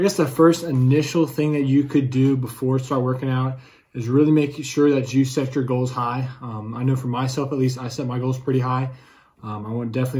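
Somewhat breathy and dark, mellow in tone, a man talks at a fairly quick pace with flat, monotone intonation. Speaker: fitness vlogger. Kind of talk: casual vlog chat. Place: home room. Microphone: phone near.

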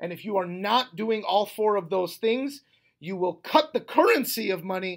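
At a moderate pace, a man talks in an animated tone over a quiet background. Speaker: real estate wholesaling coach and YouTuber. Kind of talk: motivational talk to camera. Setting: recorded without a microphone. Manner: loud, yelling. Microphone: webcam.

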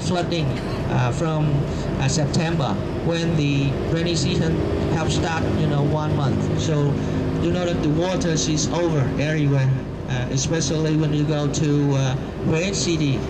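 Loud background noise surrounds a man whose pitch varies in an ordinary way. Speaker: tour guide. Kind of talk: tour guide commentary. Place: bus. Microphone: camera far.

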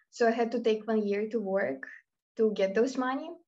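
A woman speaks with a Russian accent. Her pitch is fairly high and her pace is moderate. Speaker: university student. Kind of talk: casual chat. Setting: video call.

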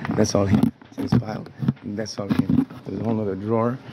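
A man talks with music in the background. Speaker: tenant vlogger. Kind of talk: angry casual vlog rant. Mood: angry, agitated. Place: home room. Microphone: phone near.

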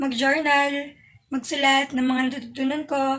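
This woman's voice is high in pitch and moves at a moderate pace. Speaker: vlogger. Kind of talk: casual vlog chat. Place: home room. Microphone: phone near.

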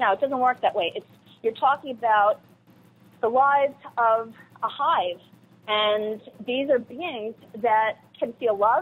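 With an American accent, a woman speaks at a fairly slow pace with ordinary pitch variation. Long, frequent pauses break up her speech. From New York, Long Island. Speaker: environmental advocate and radio producer. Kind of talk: interview.

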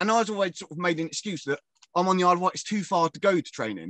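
A man with a southern English accent talks at a very fast pace. The sound is dry with no echo, and the background is quiet. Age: 40s. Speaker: professional wrestler. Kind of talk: casual interview.

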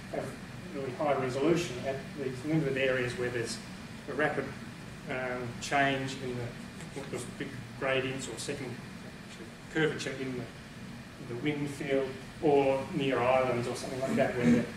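With long, frequent pauses, a man speaks at a moderate pace, his voice carrying audible room echo against noticeable background noise. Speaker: presenter. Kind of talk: lecture. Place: meeting room. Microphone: camera far.

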